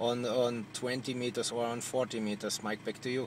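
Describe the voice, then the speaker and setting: The speaker is a man with a German accent. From Germany. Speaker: CB radio operator. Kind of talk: radio contact chat. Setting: radio transmission from a car. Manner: halting.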